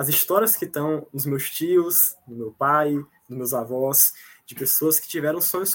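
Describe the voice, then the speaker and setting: Here a man with an ordinary speaking voice talks at a moderate pace, fairly high in pitch, with lively intonation. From Bahia, Brazil (Jacobina). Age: 20s. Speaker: student. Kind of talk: casual interview. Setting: video call from home kitchen.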